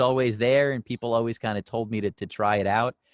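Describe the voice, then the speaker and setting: Man with an American accent in an enthusiastic tone at a fairly quick pace, dry and close with no echo, on a very clean recording with a silent background. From New York (Long Island). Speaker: voice actor. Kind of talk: interview answer. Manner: casual, conversational, enthusiastic.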